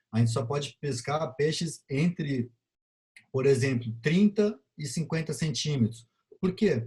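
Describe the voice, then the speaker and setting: A man's fairly high, somewhat breathy voice with a dark, mellow tone, ordinary pitch variation and a moderate pace. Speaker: biology lecturer. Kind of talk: lecture.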